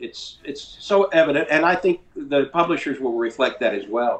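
This man has a high voice for a man and speaks at a moderate pace with an Appalachian accent. His pitch swings very widely. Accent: Southern US, Appalachian foothills. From rural North Carolina. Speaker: composer and music publisher. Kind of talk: casual interview conversation.

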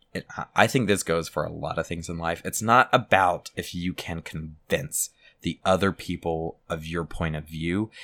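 A man with a very deep, low pitch and a bright, sharp tone speaks with hardly any pauses and ordinary pitch variation, in a dry, close sound with no echo. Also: moderate pace, very clean recording, silent background. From South Louisiana. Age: 20s. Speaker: podcast host. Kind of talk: casual chat.

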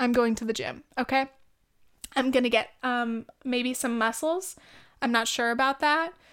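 With a Californian accent, a woman speaks at a high pitch and a moderate pace in an animated tone, taking long, frequent pauses, in a very clean recording with a silent background. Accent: Californian Valley Girl with vocal fry. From US, California (Orange County). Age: 20s. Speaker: podcast host. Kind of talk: casual monologue.

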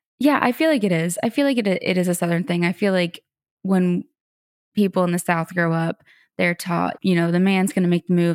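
Speaking in a normal speaking voice, a woman talks at a fairly quick pace with fairly low pitch, the sound dry and close with no echo on a very clean recording with a silent background. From Florida. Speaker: singer-songwriter. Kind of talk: interview.

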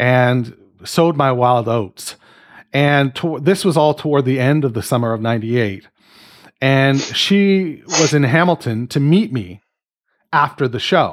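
A man with an unremarkable speaking voice and a Canadian accent talks at a fairly slow pace in a fairly high pitch with lively intonation, on a very clean recording with a silent background. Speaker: podcast host. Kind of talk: casual chat.

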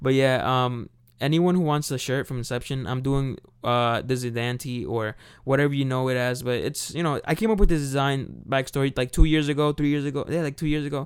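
This is an unremarkable speaking voice. It moves at a fairly quick pace. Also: man, medium pitch for a man. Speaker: podcast host. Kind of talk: casual chat. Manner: casual, chatty.

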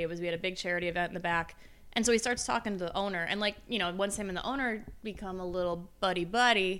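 A woman's bright, sharp tone at medium pitch with ordinary pitch variation and a very fast pace, on a very clean recording with a silent background. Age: 30s. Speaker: podcast co-host, bar server. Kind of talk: casual chat.

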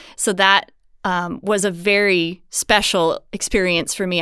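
A woman speaks with a Southern US accent and a medium pitch. Her intonation stays fairly even. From US South. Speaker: dancer. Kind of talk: interview.

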